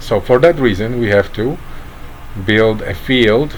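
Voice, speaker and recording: With a Polish accent, a man speaks at a fairly slow pace and medium pitch, his pitch varying in an ordinary way over noticeable background noise. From Poland. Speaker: online commentator. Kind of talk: satirical monologue. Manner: halting, many fillers.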